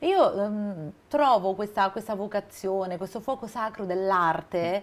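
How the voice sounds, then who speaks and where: A woman speaking at a fairly slow pace with ordinary pitch variation. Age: 40s. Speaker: TV presenter. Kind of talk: TV interview; scripted intro. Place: studio. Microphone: lapel.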